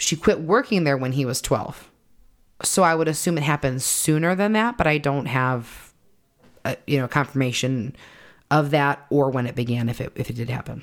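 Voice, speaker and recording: Lively in intonation, a woman with a very deep, low pitch speaks at a moderate pace. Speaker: podcast host. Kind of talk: true-crime narration, telling the case story to co-hosts. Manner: storytelling, conversational; earnest, apologetic.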